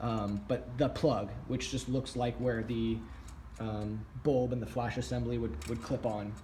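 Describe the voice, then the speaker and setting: A man talks at a medium pitch with ordinary pitch variation. Room echo can be heard. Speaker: prop hobbyist YouTuber. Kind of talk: tutorial. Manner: fast; casual with many fillers.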